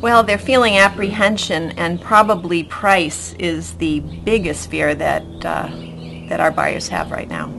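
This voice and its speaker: Over noticeable background noise, a woman with an American accent speaks at a fairly slow pace. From Boston, US Northeast. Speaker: real estate agent. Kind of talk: interview.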